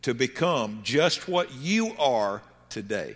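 A man speaks with a Southern US accent. His pitch swings very widely. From US South. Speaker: pastor. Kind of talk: sermon. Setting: church. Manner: halting.

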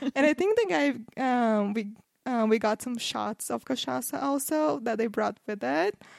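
A woman's fairly high voice in a Portuguese accent, on a very clean recording with a silent background. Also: lively intonation, moderate pace. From Brazil, Campinas near São Paulo. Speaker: podcast guest, Brazil travel expert. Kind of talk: casual chat.

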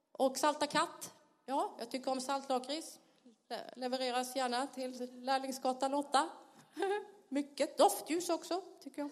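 A high-pitched woman with a Blekinge accent, fairly slow and with long, frequent pauses, her pitch varying in an ordinary way. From Sweden, Blekinge (Karlskrona). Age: 50s. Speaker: pastor. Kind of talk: sermon. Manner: animated, laughing.

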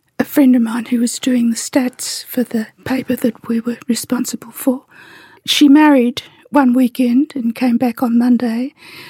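A woman with an Australian accent, high-pitched yet dark and mellow in tone, flat and monotone, at a moderate pace, in a dry, close recording with no echo. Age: 80s+. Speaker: activist. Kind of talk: interview.

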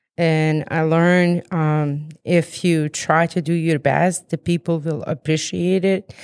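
A woman with a fairly low pitch speaks at a very slow pace with hardly any pauses, in a monotone, flat intonation and very even loudness, with a dry, close sound with no echo. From Bosnia and Herzegovina. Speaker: school custodian. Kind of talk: casual interview.

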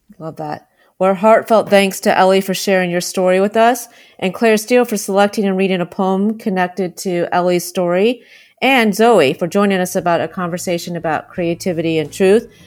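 A normal speaking voice from a woman, medium in pitch, with fairly even intonation at a fairly quick pace, in a very clean recording with a silent background. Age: 50s. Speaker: podcast host. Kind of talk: interview.

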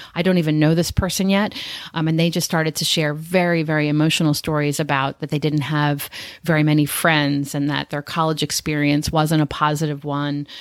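Flat and monotone, a woman speaks at a fairly quick pace in a very deep, low pitch. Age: 50s. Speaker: interview coach podcast co-host. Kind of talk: casual chat.

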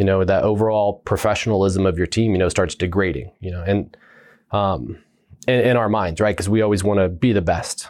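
A man's plain, everyday voice, fairly low-pitched, with a fairly quick pace and fairly even intonation, on a very clean recording with a silent background. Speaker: Army first sergeant, former Special Forces team sergeant. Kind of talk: casual interview conversation.

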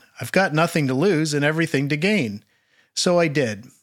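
Lively intonation, an unremarkable speaking voice, with a Canadian accent. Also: man. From Prince Edward Island, Canada. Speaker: audio technician and author. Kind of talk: reading aloud.

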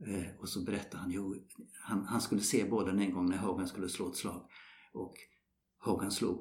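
A man with a fairly low pitch talks at a moderate pace. Audible room echo surrounds his voice. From Sweden. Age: 70s. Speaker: retired golf professional. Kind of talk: interview. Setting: golf club.

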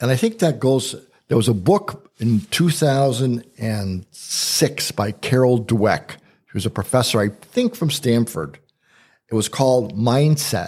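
A man speaks at a fairly slow pace, his pitch sitting in the middle range. His voice is somewhat breathy. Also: lively intonation. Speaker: podcast host and coach. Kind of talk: casual conversational podcast.

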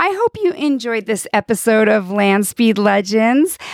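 Dry and close with no echo, the recording captures a woman with a normal speaking voice and a fairly high pitch talking fairly slowly. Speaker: podcast host. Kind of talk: casual interview. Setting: outdoors at salt flats.

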